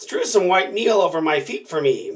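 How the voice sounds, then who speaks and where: This man is doing a put-on character voice with a raspy sound. His pace is moderate. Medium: read story. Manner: wheedling, deceitful.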